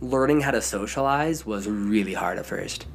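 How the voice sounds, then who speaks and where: Lively intonation from a man at a fairly quick pace, over noticeable background noise. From southern Idaho. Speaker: professional climber and songwriter. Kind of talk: interview.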